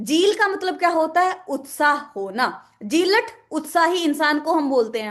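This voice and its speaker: In a Haryanvi accent, a woman speaks at an extremely high pitch with lively intonation. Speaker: vocabulary teacher. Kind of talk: online lecture.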